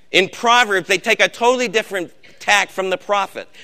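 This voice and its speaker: A man's raised, projected voice, high in pitch with a bright, sharp tone, at a moderate pace over a quiet background. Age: old. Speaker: Bible study leader. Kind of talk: sermon. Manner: emphatic.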